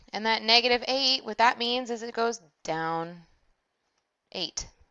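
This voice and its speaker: An unremarkable speaking voice from a woman, fairly high in pitch, over a quiet background. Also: ordinary pitch variation, fairly slow pace. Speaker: math teacher. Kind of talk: tutorial. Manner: casual.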